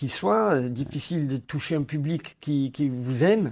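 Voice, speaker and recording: A man speaks at a fairly slow pace with a Corsican accent and a fairly high pitch. His tone is dark and mellow, and his intonation is lively. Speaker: actor and comedy filmmaker. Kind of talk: interview. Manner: hesitant, many fillers and repetitions.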